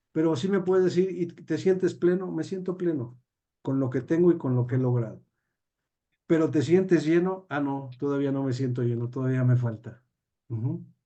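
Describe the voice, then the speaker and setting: Using a normal speaking voice, the man talks fairly high in pitch, at a moderate pace, with ordinary pitch variation. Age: 60s. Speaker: judge and teacher. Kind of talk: interview.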